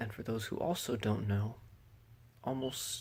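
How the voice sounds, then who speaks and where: A man talks in a somewhat breathy voice of medium pitch. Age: 20s. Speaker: epilepsy awareness vlogger. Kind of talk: personal awareness talk. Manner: stuttering at times; minimal mouth movement.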